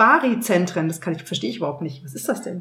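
A woman speaks with lively intonation. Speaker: podcast co-host. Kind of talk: casual chat. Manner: giggly.

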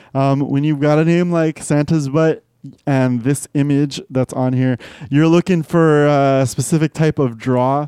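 At a fairly slow pace, a man with a fairly high pitch and a dark, mellow tone speaks with fairly even intonation in a dry, close sound with no echo. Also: very even loudness. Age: 30s. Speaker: beer podcast co-host. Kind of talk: monologue confessional; casual chat.

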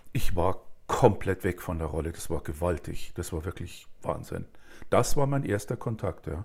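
On a very clean recording with a silent background, a man with a very deep, low pitch speaks at a moderate pace, somewhat breathy and with lively intonation. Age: 60s. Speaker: author, director and actor. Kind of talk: casual chat.

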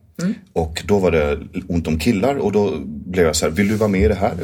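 Vocal fry runs through a man's lively intonation. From southern Sweden (Skåne). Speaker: musical theatre actor and director. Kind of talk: interview.

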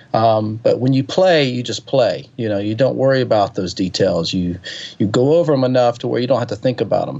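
The speaker talks at a fairly quick pace with a Southern US accent. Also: man, medium pitch for a man, ordinary pitch variation. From US South, Alabama (Birmingham area). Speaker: touring keyboard player and singer-songwriter. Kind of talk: interview conversation. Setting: phone call. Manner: hesitant, many fillers.

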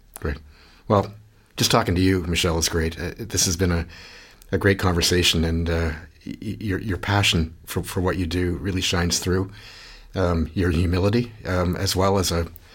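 Somewhat breathy and very deep in pitch, a man speaks with a Canadian accent at a moderate pace and fairly even intonation, on a very clean recording with a silent background. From Canada. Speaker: podcast host, research institute director. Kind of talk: interview. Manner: halting, many repetitions.

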